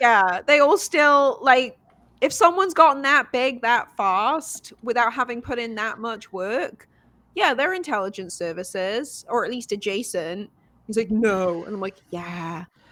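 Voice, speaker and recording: A woman with a British accent speaks at a fairly slow pace in an animated tone, her fairly high, bright, sharp voice making very wide pitch swings and big swings in loudness on a very clean recording with a silent background. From Wales. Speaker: writer and TV journalist. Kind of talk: casual chat.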